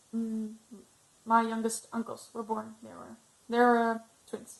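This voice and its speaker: Fairly slowly, a woman speaks with a non-native accent. Her pitch is fairly high. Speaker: ex-Jehovah's Witness vlogger. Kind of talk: personal testimony vlog. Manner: halting, many fillers.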